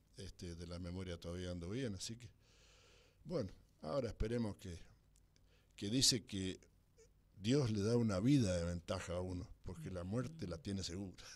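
A man with a very deep, low voice and ordinary pitch variation speaks at a moderate pace with long, frequent pauses. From Argentina, San Rafael, Mendoza; Mendoza, Argentina. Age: 80s+. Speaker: former cyclist; interview guest. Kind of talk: interview. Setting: studio. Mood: nostalgic storytelling. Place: studio.

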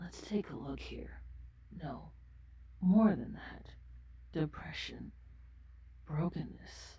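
This put-on character voice moves at a very slow pace with long, frequent pauses. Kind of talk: ASMR role play. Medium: role play. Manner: soft-spoken, gentle.

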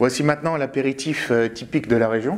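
Here a man speaks at a moderate pace. His pitch is medium, with ordinary pitch variation. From France, Champagne region (Marne). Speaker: winemaker. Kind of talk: tutorial.

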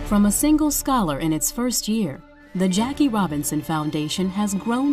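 Speech at a moderate pace swings very widely in pitch, with music in the background. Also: woman. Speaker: voice actor. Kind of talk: corporate narration.

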